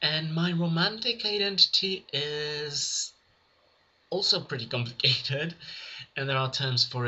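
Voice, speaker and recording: Very wide pitch swings mark this man's bright, sharp tone as he speaks at a moderate pace. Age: 20s. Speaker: vlogger. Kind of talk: casual vlog monologue. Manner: halting.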